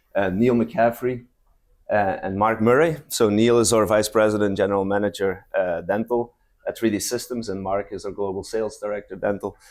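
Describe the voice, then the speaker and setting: This man has a non-native accent and a fairly low pitch, with fairly even intonation at a moderate pace. The recording is very clean, with a silent background. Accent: noticeable non-native. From Belgium. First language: not English. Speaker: company presenter. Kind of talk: conference presentation. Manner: halting, many fillers.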